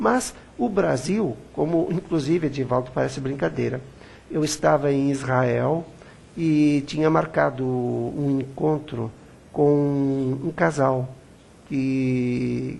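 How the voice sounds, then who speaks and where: Speech unfolds very slowly. The pitch rises and falls in an ordinary way. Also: man, fairly high pitch for a man. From Brazil. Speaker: web TV interviewer. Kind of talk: interview.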